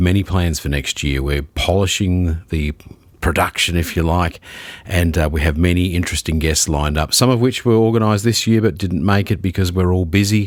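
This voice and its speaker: Speaking in an Australian accent, a man has a very deep, low voice. His pace is moderate and his pitch variation ordinary. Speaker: podcast host. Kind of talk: podcast intro and casual review talk.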